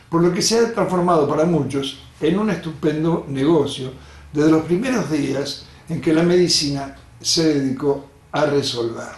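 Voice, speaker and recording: With an Argentine accent, a man speaks at a fairly slow pace and fairly high pitch, his pitch varying in an ordinary way amid audible room echo. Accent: Rioplatense Argentine Spanish. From Argentina, Rosario. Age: 70s. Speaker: doctor. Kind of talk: lecture.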